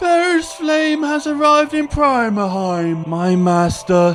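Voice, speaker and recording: Clear background noise accompanies a put-on character voice that swings very widely in pitch at a fairly slow pace. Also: man, extremely high pitch for a man. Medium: read story.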